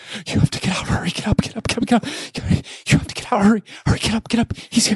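In a put-on character voice, someone whispers quietly at a fairly quick pace. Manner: urgent, hushed whisper.

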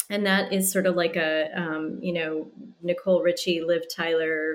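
A woman has a normal speaking voice at medium pitch. She speaks at a fairly slow pace. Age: 40s. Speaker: stylist and dating coach. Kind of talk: casual chat.

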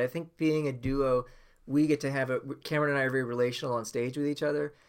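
Using a normal speaking voice, a man holds a medium pitch and fairly even intonation. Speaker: musician. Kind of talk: casual interview. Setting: video call.

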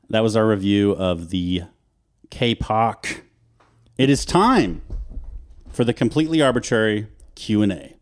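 Long, frequent pauses break up a man's fairly low-pitched, lively intonation on a very clean recording with a silent background. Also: fairly slow pace. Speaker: podcast co-host. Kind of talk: casual chat.

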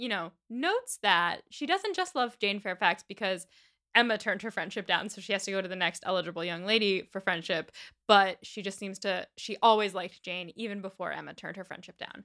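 The voice moves at a fairly quick pace with a bright, sharp tone, ordinary pitch variation and big swings in loudness. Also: woman. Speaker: podcast co-host. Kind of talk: casual chat.

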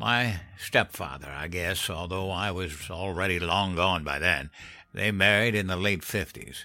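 In a drawling put-on character voice, a man speaks fairly slowly at a low pitch, his tone bright and sharp and his pitch variation ordinary.

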